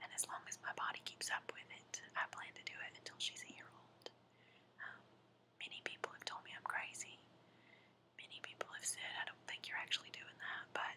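A soft-spoken woman whispering at a fairly quick pace, with big swings in loudness and noticeable background noise. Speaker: mother reviewing product. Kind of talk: casual vlog chat. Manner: soft close-up whisper. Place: home room. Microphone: webcam.

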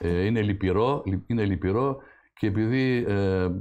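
A man speaks with a dark, mellow tone and ordinary pitch variation. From Greece, Central Macedonia (village of Emmanouil Papas, Serres area); Central Macedonia, Greece. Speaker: author and historian; guest. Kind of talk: TV interview; interview answer. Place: studio. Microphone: lapel.

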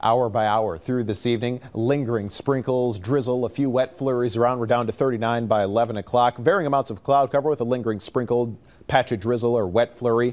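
A man talks at a fairly quick pace with hardly any pauses. His intonation stays fairly even. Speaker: TV meteorologist. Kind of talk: weather report, broadcast forecast delivered to camera, conversational. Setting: TV studio. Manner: brisk, fluent, friendly and matter-of-fact, rattling off temperatures and conditions. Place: studio.

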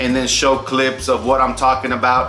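A man speaks amid audible room echo. Faint music plays in the background. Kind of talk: casual vlog chat. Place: home room. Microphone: camera far.

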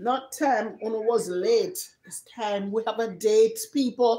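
A woman speaks at a slow pace with a fairly high pitch. Her tone is dark and mellow.

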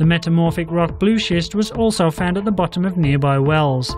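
Over music in the background, a man talks at a moderate pace, his pitch high for a man with ordinary variation. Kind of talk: news narration.

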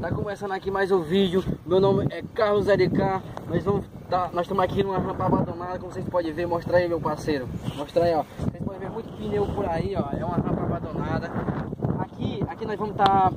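Loud background noise surrounds a fairly quick voice in a dry recording with no echo. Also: man. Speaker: dirt bike vlogger. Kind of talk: casual vlog chat. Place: open country. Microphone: phone near.

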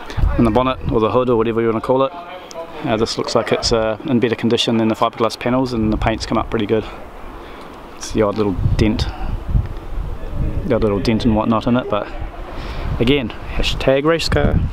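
Over noticeable background noise, a man talks at a very fast pace with fairly even intonation, the sound dry with no echo. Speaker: car build vlogger. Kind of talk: casual vlog chat. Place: workshop. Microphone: phone near.

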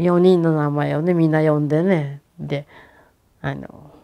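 With a Hiroshima accent, the voice is dark and mellow, flat and monotone in intonation, and fairly slow in pace over a quiet background. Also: woman. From Hiroshima, Japan; Japan. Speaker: atomic bomb survivor. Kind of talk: testimony. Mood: calm, at times emotional. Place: home room. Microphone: lapel.

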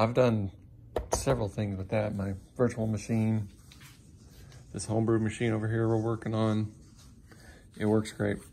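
A man with a fairly low voice speaks at a moderate pace in a flat monotone, leaving long and frequent pauses over light background noise. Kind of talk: casual workshop tutorial chat. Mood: relaxed, informal. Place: garage. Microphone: phone near.

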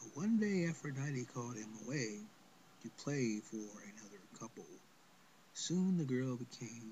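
The speaker is a man with a somewhat breathy voice. He talks at a fairly slow pace. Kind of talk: spoken word poem read aloud. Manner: measured, lyrical, sing-song rhythm with rhymed cadence.

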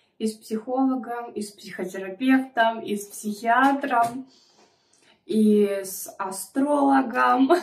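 Audible room echo surrounds a woman speaking at a very slow pace. Her loudness swings widely. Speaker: mukbang vlogger. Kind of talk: casual vlog chat. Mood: chatty, confiding. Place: home room. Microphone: phone near.

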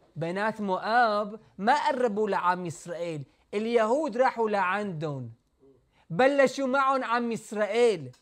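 Lively intonation marks this man's high-pitched voice. He speaks at a very slow pace over a quiet background. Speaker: rabbi teaching Torah. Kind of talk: religious lecture. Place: home room. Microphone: lapel.

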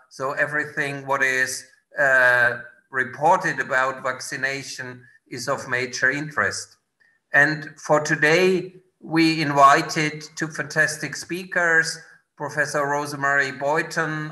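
Using fairly even intonation, a man talks at a fairly slow pace over a quiet background. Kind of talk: formal introduction of speakers. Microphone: video call.

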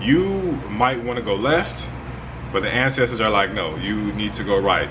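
The speech moves at a fairly slow pace against noticeable background noise. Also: man. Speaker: spiritual content creator. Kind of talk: tutorial. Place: home room.

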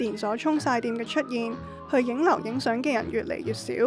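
A woman speaks at a high pitch. Music plays in the background. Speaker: documentary narrator. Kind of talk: feature documentary narration.

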